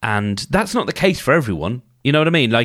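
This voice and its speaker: Talking at a very fast pace, a man with vocal fry swings very widely in pitch, in a very clean recording with a silent background. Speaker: podcast host. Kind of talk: solo podcast monologue. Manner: casual, with fillers and repeats.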